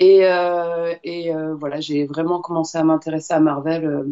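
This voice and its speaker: A woman talks at a fairly slow pace. Her pitch is fairly low. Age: 30s. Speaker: fitness coach. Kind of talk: interview. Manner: hesitant, many fillers.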